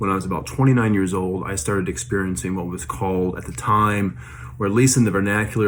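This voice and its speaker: In a room with audible echo, a man speaks in a very deep, low voice that makes very wide pitch swings. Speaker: vlogger sharing paranormal experiences. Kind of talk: casual monologue. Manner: fast; hesitant, many fillers.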